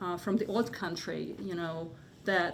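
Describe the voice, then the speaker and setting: A woman talks at a fairly slow pace with a Hungarian accent. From Hungary. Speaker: artist. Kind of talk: panel discussion. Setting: gallery with live audience. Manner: halting, many fillers.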